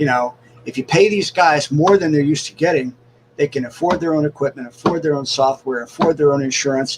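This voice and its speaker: Noticeable background noise under a man's fairly high-pitched voice, with ordinary pitch variation and a fairly quick pace. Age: 60s. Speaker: cartoonist and animator. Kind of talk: casual interview chat.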